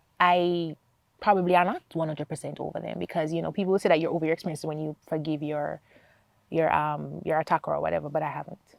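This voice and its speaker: A woman with a Jamaican accent talks at a very fast pace on a very clean recording with a silent background and a dry, close sound with no echo. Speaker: accountant and foundation founder. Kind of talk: interview testimony.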